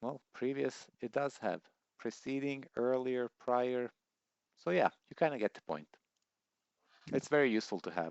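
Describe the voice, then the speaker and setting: Pausing long and often, a man with a non-native accent talks at a moderate pace with a medium pitch and ordinary pitch variation. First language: not English. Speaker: software tutorial youtuber. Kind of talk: tutorial.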